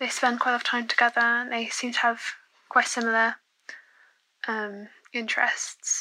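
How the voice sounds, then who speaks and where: With a British accent, a woman speaks in a high, bright, sharp voice at a moderate pace, her intonation monotone and flat, broken by long, frequent pauses. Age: 20s. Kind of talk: recorded voicemail question.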